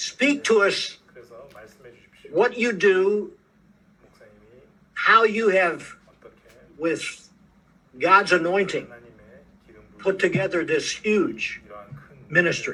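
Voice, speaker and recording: A man with an American accent, a raised, projected voice at a high pitch, a bright, sharp tone and lively intonation, at a very slow pace with long, frequent pauses. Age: 80s+. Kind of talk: interview. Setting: video call.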